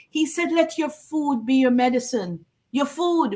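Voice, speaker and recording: A woman's voice at a high pitch. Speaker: wellness product representative. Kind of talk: interview.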